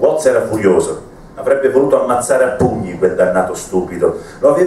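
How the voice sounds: This is a natural reading voice. The words are read aloud in that way.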